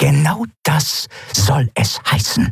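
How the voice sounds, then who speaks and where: A put-on character voice with hissing. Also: man. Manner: hissed, curt.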